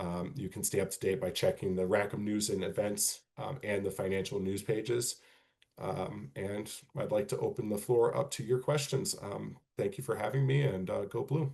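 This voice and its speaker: Somewhat breathy, a man speaks at a fairly low pitch in a dark, mellow tone with ordinary pitch variation. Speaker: university financial aid presenter. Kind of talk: presentation / webinar Q&A. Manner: fast; many filler words (um, uh).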